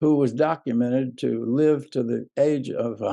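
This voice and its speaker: At a fairly slow pace, a man with an Alabama accent speaks in a dark, mellow tone at medium pitch with ordinary pitch variation. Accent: Southern US (Alabama). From US South, southern Alabama. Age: 80s+. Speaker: civil rights activist. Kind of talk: interview. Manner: halting.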